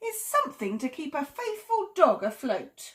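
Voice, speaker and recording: A woman does a put-on character voice at an extremely high pitch. She moves at a moderate pace with very wide pitch swings. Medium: read story. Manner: brisk, matter-of-fact.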